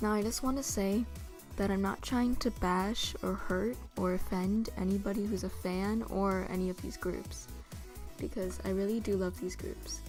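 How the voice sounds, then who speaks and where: Music plays in the background while a woman talks at a moderate pace. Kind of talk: casual talk to camera. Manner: monotone.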